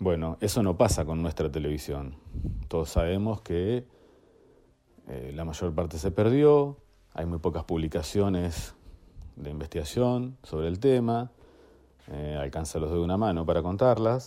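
In a very clean recording with a silent background, a man with a very deep, low pitch and a dark, mellow tone speaks at a fairly slow pace, with long, frequent pauses. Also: lively intonation. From Argentina, La Plata. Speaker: archive collector and researcher. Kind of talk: interview.

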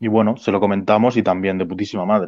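A man speaks with a fairly low pitch. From Spain (Alicante). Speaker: punk rock bassist. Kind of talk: interview. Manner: halting.

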